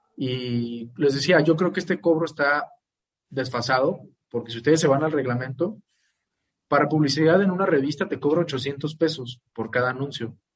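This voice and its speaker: Somewhat breathy, a man talks in a fairly high voice. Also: ordinary pitch variation, moderate pace. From Mexico, Guadalajara. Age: 20s. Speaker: lawyer. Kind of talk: interview. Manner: halting, many fillers.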